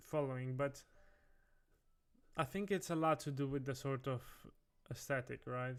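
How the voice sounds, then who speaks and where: A man with a non-native accent. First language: not English. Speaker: designer livestreamer. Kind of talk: livestream commentary. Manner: casual, halting with self-corrections.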